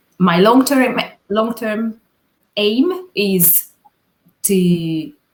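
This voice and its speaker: A woman talks in a Hungarian accent with ordinary pitch variation. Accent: non-native English, Hungarian. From Hungary. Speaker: videographer. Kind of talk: interview. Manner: halting, many fillers.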